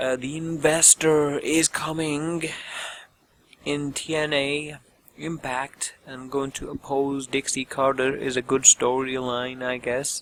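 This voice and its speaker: With noticeable background noise but a dry, close sound with no echo, a man of fairly high pitch speaks at a very slow pace in a monotone, flat intonation. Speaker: wrestling show reviewer. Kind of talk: show review commentary.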